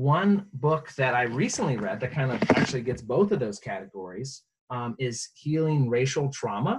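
A man with an ordinary speaking voice, medium pitch and a fairly slow pace. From US, moved around; high school in Virginia. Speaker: pastor. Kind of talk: interview.

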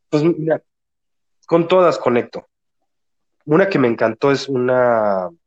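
Man's voice of medium pitch, ordinary pitch variation, dry and close with no echo. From Mexico City. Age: 40s. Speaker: regression therapist. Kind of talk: interview.

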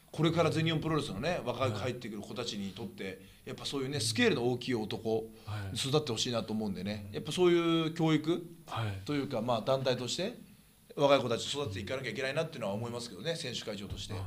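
A man with a medium pitch talks at a very fast pace with lively intonation. The room echo is audible, and there is noticeable background noise. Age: 30s. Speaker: professional wrestler and podcast host. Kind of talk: casual chat.

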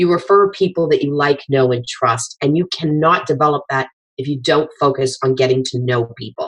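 The woman's voice sits very deep and low in pitch as she talks at a moderate pace. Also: ordinary pitch variation. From Nova Scotia. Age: 50s. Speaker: social media consultant. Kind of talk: casual chat.

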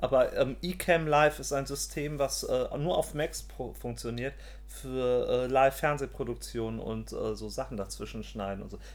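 Big swings in loudness mark a man's fairly slow speech. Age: 40s. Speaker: podcast co-host. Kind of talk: casual chat.

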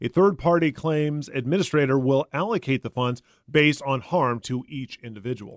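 An unremarkable speaking voice from a man, fairly high in pitch, with ordinary pitch variation at a moderate pace, in a dry, close sound with no echo. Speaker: radio news host. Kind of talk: news reading and interview questions.

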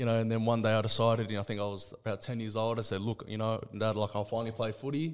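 A man's very fast, monotone, flat delivery with hardly any pauses. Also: medium pitch for a man. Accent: Australian. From Western Sydney, Australia. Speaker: rugby league player. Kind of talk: casual interview. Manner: halting, many fillers.

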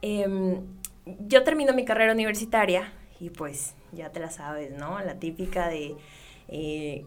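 The voice moves at a fairly slow pace with lively intonation and big swings in loudness. Noticeable background noise and audible room echo fill the recording. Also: woman. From Mexico, Sonora (Ciudad Obregón). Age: 20s. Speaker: sports journalist and TV presenter. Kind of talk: interview.

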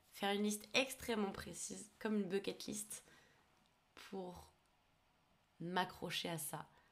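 The speech moves at a fairly slow pace, broken by long, frequent pauses. The pitch varies in an ordinary way. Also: woman, medium pitch for a woman. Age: 20s. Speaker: podcast host. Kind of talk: personal testimony monologue. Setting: alone recording at a computer. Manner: hesitant.

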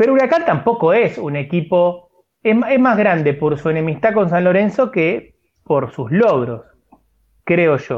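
A man talks at a fairly slow pace in a high voice that makes very wide pitch swings. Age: 40s. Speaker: sports podcast co-host. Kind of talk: casual chat.

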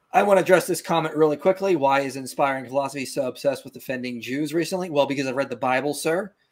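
A man with an American accent talks at a very fast pace with hardly any pauses, using a fairly high pitch, ordinary pitch variation and big swings in loudness. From US, Pittsburgh. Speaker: YouTube apologetics host. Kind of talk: live-stream interview. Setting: video call live stream.

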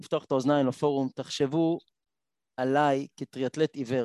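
This man has a fairly high pitch and an ordinary speaking voice, talking at a moderate pace with fairly even intonation. The sound is dry and close, with no echo. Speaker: blind triathlete and motivational speaker. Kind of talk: panel discussion.

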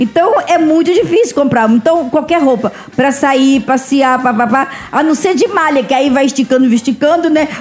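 A woman speaks at a high pitch and moderate pace, her intonation lively and her loudness very even. Noticeable background noise runs behind her. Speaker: guest with dwarfism. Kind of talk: casual chat.

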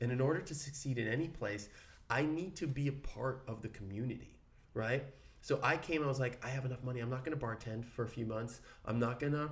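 Somewhat breathy speech rushes at a very fast pace with audible room echo. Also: man, medium pitch for a man, ordinary pitch variation. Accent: American. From Brooklyn, New York. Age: 30s. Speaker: actor, podcast co-host. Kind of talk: casual chat.

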